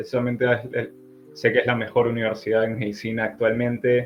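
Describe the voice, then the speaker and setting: A man speaks at a medium pitch. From Peru. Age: 20s. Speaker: physician, incoming internal medicine resident. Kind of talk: interview.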